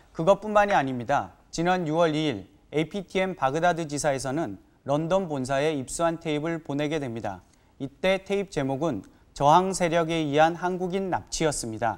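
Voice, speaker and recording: A man's fairly high, lively voice at a moderate pace, a normal speaking voice, on a very clean recording with a silent background. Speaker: TV news producer-reporter. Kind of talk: scripted narration.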